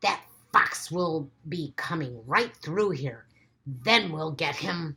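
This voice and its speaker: In a put-on character voice, a woman speaks at a very slow pace, raspy and very deep in pitch, with lively intonation. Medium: read story.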